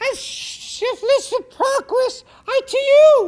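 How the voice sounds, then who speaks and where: In a put-on character voice, squeaky and extremely high-pitched, the speaker goes at a very slow pace. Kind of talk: comic overacting. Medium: short film. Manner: overwrought, stumbling.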